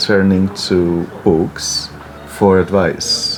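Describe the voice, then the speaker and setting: Music plays in the background. A man speaks in a very deep, low pitch. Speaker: lecturer in English literature. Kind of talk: interview answer. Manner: slow.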